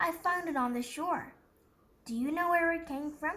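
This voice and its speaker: In a put-on character voice, a woman talks at a moderate pace with an extremely high pitch. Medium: read story.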